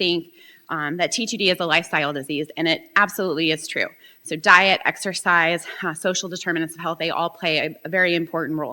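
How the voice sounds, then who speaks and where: Loud and fairly quick, a woman speaks at a fairly low pitch in a bright, sharp tone. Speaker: professor. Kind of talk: conference talk. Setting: stage with audience.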